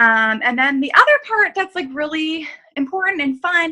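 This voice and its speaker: A woman uses a raised, projected voice. Her tone is bright and sharp. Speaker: fitness coach. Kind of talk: group video call briefing. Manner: fast; casual, filler-heavy.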